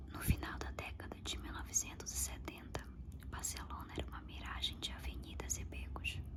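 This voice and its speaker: With noticeable background noise behind, the speech is whispered at a moderate pace. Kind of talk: whispered audiobook-style reading of a novel.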